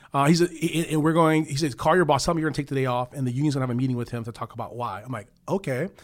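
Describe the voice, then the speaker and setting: Fairly high in pitch with ordinary variation, a man with an American accent speaks at a very fast pace with hardly any pauses in a very clean recording with a silent background. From Chicago. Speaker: union official. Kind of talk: interview.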